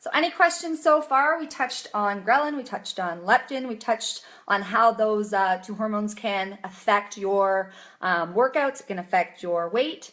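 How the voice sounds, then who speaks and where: A woman's fairly high voice with very wide pitch swings, at a moderate pace. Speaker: chiropractor and nutrition coach. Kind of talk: live Q&A stream. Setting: livestream video.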